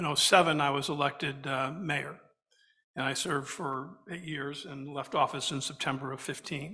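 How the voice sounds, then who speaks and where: At a moderate pace, the speech carries a bright, sharp tone. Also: man. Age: 60s. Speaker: former mayor and lawyer, panelist. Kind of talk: panel discussion.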